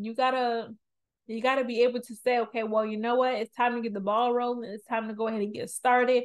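This is a woman speaking. Her pitch is high. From New Orleans, Louisiana. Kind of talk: devotional talk. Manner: casual, filler-heavy.

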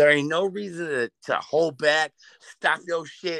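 With an American accent, a man speaks at a slow pace in a fairly high pitch with ordinary pitch variation. His fairly bright tone comes through a dry, close sound with no echo.

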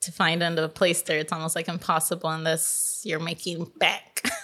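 In a Californian accent, a woman speaks with a fairly low pitch. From Los Angeles, Silver Lake. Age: 30s. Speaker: podcast guest. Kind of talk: casual chat.

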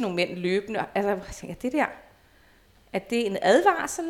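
Here a woman talks at a moderate pace with a medium pitch. It is a normal speaking voice. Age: 40s. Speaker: former nude model. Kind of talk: casual chat. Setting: at the guest's home.

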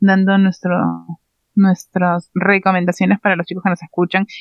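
With a monotone, flat intonation, a woman speaks at a medium pitch. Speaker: podcast co-host. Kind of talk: casual chat.

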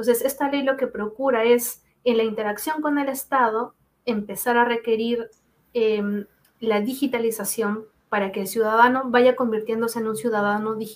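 A woman's unremarkable speaking voice, fairly high in pitch, at a moderate pace with fairly even intonation. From Peru. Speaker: data protection lawyer. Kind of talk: expert interview.

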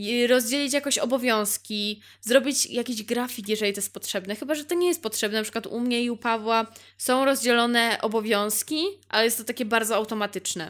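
On a very clean recording with a silent background, a woman talks at a fairly quick pace in an animated tone. Her pitch is fairly high, with ordinary pitch variation. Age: 20s. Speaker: podcaster. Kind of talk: casual monologue.

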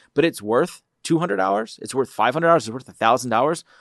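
Talking very fast with lively intonation and an American accent, a man is heard in a dry, close sound with no echo. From Philadelphia, US. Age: 40s. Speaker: startup co-founder. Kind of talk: interview. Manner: halting.

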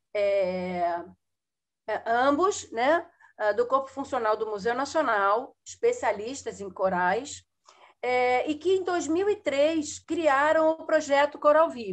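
Very slow speech with very wide pitch swings comes through over a quiet background. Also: woman, high pitch for a woman. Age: 60s. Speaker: biologist and environmental educator. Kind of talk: interview. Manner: halting.

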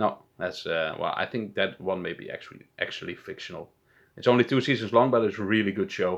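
Speaking with a Dutch accent at a fairly quick pace, the voice shows ordinary pitch variation against a quiet background. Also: man, medium pitch for a man. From Netherlands. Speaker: podcast co-host. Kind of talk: casual chat.

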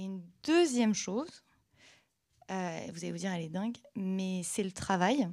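On a very clean recording with a silent background, a woman speaks at a fairly slow pace with long, frequent pauses and ordinary pitch variation. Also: medium pitch for a woman. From Normandy, Caen. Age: 20s. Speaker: entrepreneur. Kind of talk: panel discussion on stage. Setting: stage with audience.

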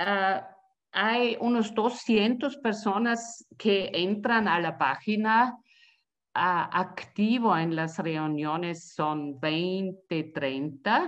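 A woman at a very slow pace, medium in pitch, with lively intonation and big swings in loudness. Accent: German. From Austria. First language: German (speaking Spanish). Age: 60s. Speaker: community radio activist, retiree. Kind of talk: interview.

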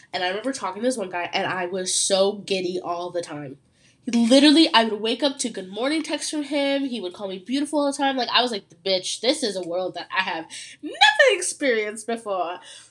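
A woman speaks at a fairly quick pace in an animated tone, her fairly high voice making very wide pitch swings. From Ontario, Canada. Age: young. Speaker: podcast host. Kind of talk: casual solo chat.

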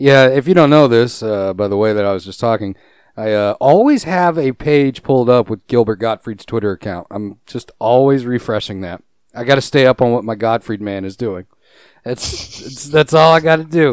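At a moderate pace, a man with an unremarkable speaking voice, medium pitch and ordinary pitch variation talks with big swings in loudness, the sound dry and close with no echo. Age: 30s. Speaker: gaming podcast co-host. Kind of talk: casual chat. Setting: online call.

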